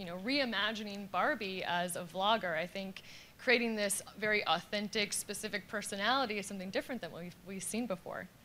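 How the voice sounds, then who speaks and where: A woman's bright, sharp tone at a fairly quick pace over light background noise. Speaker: panel moderator. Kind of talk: panel discussion. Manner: loud. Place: hall. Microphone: lapel.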